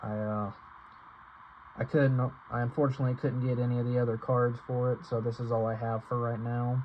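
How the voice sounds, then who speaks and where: Breathy to some degree, a man talks at a fairly quick pace in monotone, flat intonation, broken by long, frequent pauses. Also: medium pitch for a man. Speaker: card game youtuber. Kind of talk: deck profile tutorial. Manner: stuttering, halting; fast, rushed.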